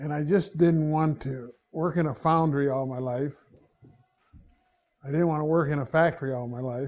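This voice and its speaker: Somewhat breathy and fairly high in pitch, a man with an American accent speaks at a moderate pace with fairly even intonation. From Ohio. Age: 80s+. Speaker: university alumnus. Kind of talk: oral history interview.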